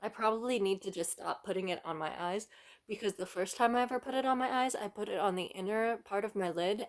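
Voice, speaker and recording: A woman talks at a fairly quick pace, with medium pitch and ordinary pitch variation. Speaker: makeup reviewer. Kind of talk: casual product review. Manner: rambling, self-interrupting.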